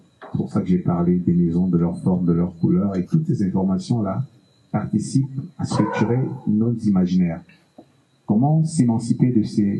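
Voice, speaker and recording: A man's fairly low voice with a Cameroonian accent and very wide pitch swings. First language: Bassa (speaking French). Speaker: musician. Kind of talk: panel discussion.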